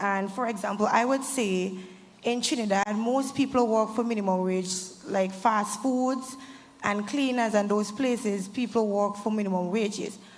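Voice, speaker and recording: A woman speaks at a fairly slow pace with fairly even intonation. The recording has audible room echo and noticeable background noise. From Saint Vincent and the Grenadines. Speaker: student panelist. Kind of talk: panel discussion.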